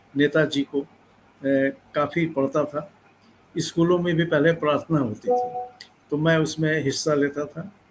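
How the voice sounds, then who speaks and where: Over noticeable background noise, a man with a fairly high pitch and ordinary pitch variation speaks with long, frequent pauses. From Bhagalpur, Bihar, India. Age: 70s. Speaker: Gandhi impersonator actor and motivational speaker. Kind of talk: interview. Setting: live video interview.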